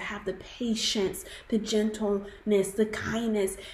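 Audible room echo and noticeable background noise accompany a woman who speaks at a fairly slow pace. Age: 20s. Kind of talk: testimony.

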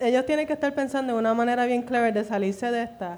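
A woman with a Puerto Rican accent speaks very fast in a high voice with ordinary pitch variation. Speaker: guest performer. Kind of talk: casual chat.

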